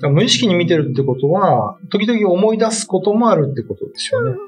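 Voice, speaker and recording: Over clear background music, a man's voice moves through very wide pitch swings. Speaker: writer, radio co-host. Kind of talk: casual radio talk. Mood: relaxed, mellow. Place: studio. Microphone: studio mic.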